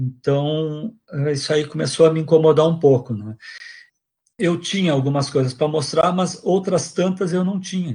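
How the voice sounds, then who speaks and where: A man's dark, mellow, fairly high voice at a moderate pace with ordinary pitch variation, over a quiet background. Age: old. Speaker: retired music professor. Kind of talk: interview testimony. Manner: halting.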